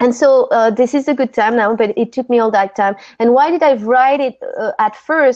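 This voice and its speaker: A woman with a French accent speaks at a moderate pace with high pitch, ordinary pitch variation and very even loudness. The sound is dry with no echo, and the background is quiet. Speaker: breathwork teacher and author; breathwork teacher. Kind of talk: interview. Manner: halting. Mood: calm, reflective. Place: home room. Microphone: video call.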